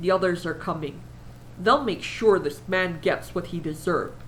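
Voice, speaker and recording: A woman's put-on character voice at a moderate pace over clear background noise. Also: fairly low pitch for a woman. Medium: read story.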